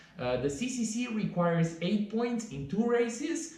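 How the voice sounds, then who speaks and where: A man talks at a fairly slow pace with very wide pitch swings. Noticeable background noise and audible room echo are present. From Romania. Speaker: trail runner and vlogger. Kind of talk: vlog tutorial. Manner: casual, some hesitations.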